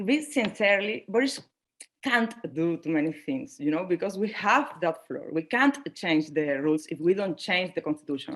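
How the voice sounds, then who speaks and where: A woman with a non-native accent and medium pitch speaks at a moderate pace, her pitch swinging very widely. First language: Spanish. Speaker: panelist. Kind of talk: panel discussion. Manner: halting.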